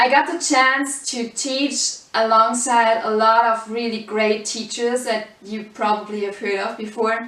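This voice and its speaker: A woman with a German accent and a fairly high pitch, over noticeable background noise. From Germany. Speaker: salsa dance teacher. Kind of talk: course introduction.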